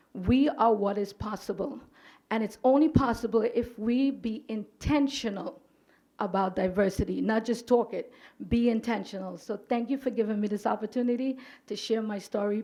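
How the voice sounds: At a moderate pace, a woman speaks in a dark, mellow tone at a fairly high pitch with ordinary variation.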